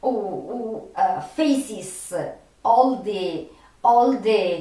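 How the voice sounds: Amid strong room echo, a woman speaks at a very slow pace in a slightly mellow tone with ordinary pitch variation.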